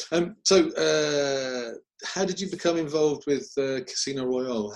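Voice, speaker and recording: This man has a normal speaking voice and a fairly high pitch. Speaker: martial arts TV interviewer. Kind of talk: interview.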